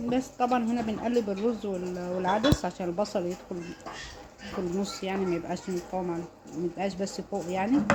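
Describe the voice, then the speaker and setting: A woman's medium-pitched voice comes through with clearly audible noise behind it. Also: ordinary pitch variation, moderate pace. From Upper Egypt, Luxor. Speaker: home cook, mother. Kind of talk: cooking tutorial.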